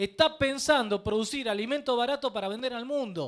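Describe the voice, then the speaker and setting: A man talks at a very fast pace with ordinary pitch variation. His pitch is extremely high. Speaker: political commentator. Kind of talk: political debate.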